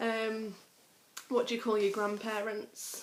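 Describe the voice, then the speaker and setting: A woman with a North Yorkshire accent speaks at a fairly slow pace, with vocal fry. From Harrogate, North Yorkshire, England. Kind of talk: accent tag, casual talk to camera.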